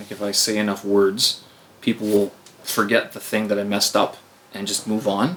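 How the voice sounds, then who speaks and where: Fairly quick speech in a monotone, flat intonation, broken by long, frequent pauses over noticeable background noise. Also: man, fairly low pitch for a man. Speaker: podcast host. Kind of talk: casual chat. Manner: stumbling.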